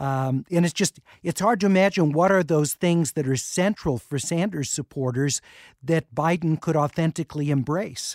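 A man talks at a moderate pace in an ordinary speaking voice. The sound is dry and close with no echo, on a very clean recording with a silent background. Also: fairly high pitch for a man, ordinary pitch variation. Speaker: radio host. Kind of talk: radio talk show interview. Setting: studio.

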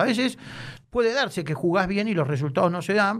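The speaker is a man. His delivery is fairly brisk. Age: 50s. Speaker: football club official and lawyer. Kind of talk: casual interview.

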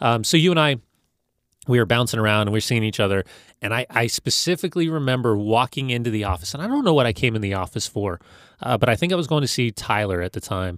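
In a very clean recording with a silent background and a dry, close sound with no echo, a man with a medium pitch talks at a very fast pace with lively intonation. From Los Angeles, US. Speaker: former soccer player, broadcaster. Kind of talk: interview.

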